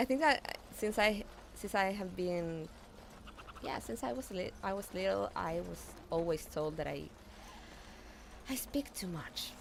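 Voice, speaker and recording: A woman with a Spanish accent and lively intonation, at a fairly slow pace, with long, frequent pauses. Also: fairly low pitch for a woman. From Argentina. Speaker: gaming streamer. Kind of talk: live-stream gameplay chat. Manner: halting, frequent fillers and repetitions; chatty.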